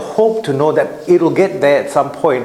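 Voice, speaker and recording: A man talks at a moderate pace with a high pitch. Noticeable background noise runs underneath. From Singapore. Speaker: wealth advisor, guest speaker. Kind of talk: seminar talk to live audience. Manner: conversational, with fillers and restarts.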